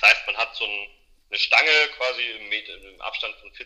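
The man talks at a moderate pace. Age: 30s. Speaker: skateboarder and parkour coach. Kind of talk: interview. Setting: remote call from home. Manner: halting, many fillers.

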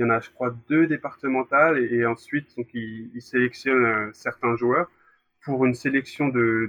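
Here is a man with an unremarkable speaking voice at medium pitch. He goes at a fairly slow pace with fairly even intonation. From Brittany, France. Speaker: former youth goalkeeper. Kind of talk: interview. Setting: recorded separately.

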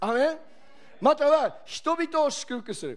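An animated man's voice at an extremely high pitch. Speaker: preacher. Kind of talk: sermon.

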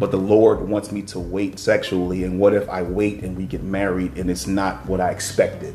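A man with a very deep, low pitch speaks at a moderate pace in a monotone, flat delivery with a warm tone over noticeable background noise. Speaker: faith-based podcast host. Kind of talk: casual faith discussion. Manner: warm, encouraging, preacher-like.

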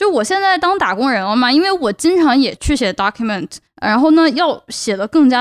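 A woman speaks high and at a fairly quick pace, her pitch swinging very widely. The sound is dry and close, with no echo. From China. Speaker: podcast host, PhD student. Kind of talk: solo podcast monologue. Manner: hesitant filler-heavy.

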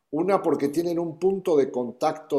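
The man's voice has a dark, mellow tone. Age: 60s. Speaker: business founder. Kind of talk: interview.

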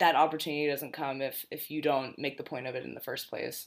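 This woman's voice is very deep and low, her intonation fairly even and her pace fairly quick. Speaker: podcast host. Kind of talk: interview conversation. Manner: monotone, though smiles to add inflection.

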